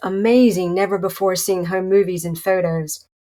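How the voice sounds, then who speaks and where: Here the speaker is a woman in a Southern US accent. She moves along fairly quickly. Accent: Southern US accent, noticeable. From North Carolina. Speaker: podcast host, interviewer. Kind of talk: interview; scripted intro reading.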